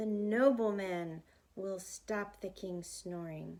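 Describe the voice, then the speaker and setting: Using a put-on character voice, a woman talks at a very slow pace and medium pitch with fairly even intonation. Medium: read story. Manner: curt, commanding.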